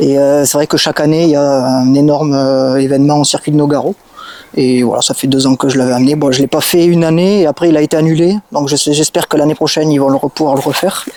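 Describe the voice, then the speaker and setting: A man with a southwestern French accent and a fairly high pitch talks at a very fast pace, with fairly even intonation and very even loudness, in a dry, close sound with no echo over noticeable background noise. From southwest France, Gers. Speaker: car enthusiast. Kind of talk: casual interview. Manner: hesitant, many fillers.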